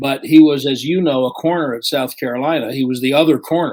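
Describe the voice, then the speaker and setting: An unremarkable speaking voice talks at a moderate pace with ordinary pitch variation. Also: man. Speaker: sports play-by-play announcer. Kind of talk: podcast interview answer.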